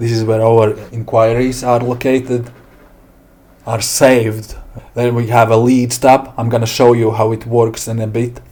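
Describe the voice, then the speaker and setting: A man with a medium pitch speaks with a Latvian accent. His intonation is monotone and flat. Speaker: software developer. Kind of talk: software demo tutorial. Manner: slow; halting.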